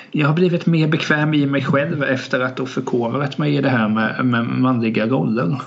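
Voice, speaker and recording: With audible room echo and noticeable background noise, a man speaks at a moderate pace and medium pitch, with ordinary pitch variation, very even loudness, and hardly any pauses. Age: 20s. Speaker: podcast co-host. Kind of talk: casual chat.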